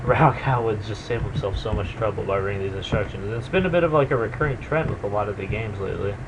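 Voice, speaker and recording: A quiet man's fairly low voice at a very fast pace, with noticeable background noise. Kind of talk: video game commentary. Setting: webcam microphone. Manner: casual, hesitant.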